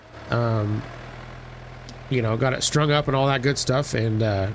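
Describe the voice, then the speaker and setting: A man talks at moderate speed, his pitch varying in an ordinary way, with noticeable noise in the background. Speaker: gaming video creator. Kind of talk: let's play commentary. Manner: casual, hesitant with fillers.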